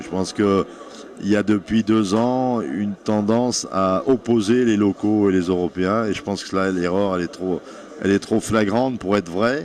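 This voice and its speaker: A man talks with fairly even intonation at a fairly low pitch. Noticeable background noise runs behind him. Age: 60s. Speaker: national football team coach. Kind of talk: interview.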